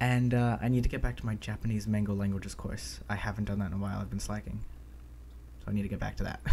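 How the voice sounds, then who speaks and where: With an American accent, a man talks at a very fast pace. His voice is fairly low, somewhat breathy and dark and mellow in tone. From United States. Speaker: language-learning podcast co-host. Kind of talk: casual chat. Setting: remote call recording.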